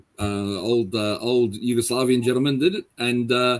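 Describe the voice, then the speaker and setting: Speaking with an Australian accent, a man keeps a medium pitch, ordinary pitch variation and a moderate pace. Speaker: paranormal investigator. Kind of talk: interview.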